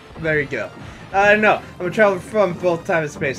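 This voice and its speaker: Noticeable background noise fills the recording. A man is talking through it. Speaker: gaming youtuber. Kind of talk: drunken co-op let's play chat. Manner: animated, rambling with fillers.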